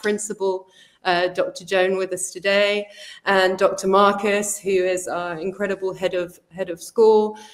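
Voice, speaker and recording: In a London accent, a woman talks at a moderate pace and a medium pitch. Her intonation stays fairly even. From South London, England. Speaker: college executive. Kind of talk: promotional presentation.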